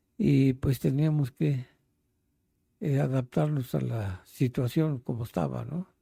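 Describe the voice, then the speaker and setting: In a Mexico City accent, a man speaks very slowly at a medium pitch with lively intonation, his tone dark and mellow and somewhat breathy, on a very clean recording with a silent background and a dry, close sound with no echo. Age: 80s+. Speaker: interviewee, elderly resident. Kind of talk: interview, life story. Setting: at his home.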